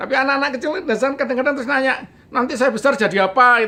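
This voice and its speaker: A man is speaking here. His voice is raised and projected. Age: 60s. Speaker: storyteller recounting childhood experience. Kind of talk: interview storytelling. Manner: halting, with fillers.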